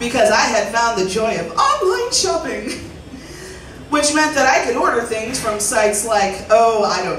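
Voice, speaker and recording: A woman's pitch swings very widely. Music plays in the background. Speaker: comedian and storyteller. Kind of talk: live storytelling performance on stage. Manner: humorous.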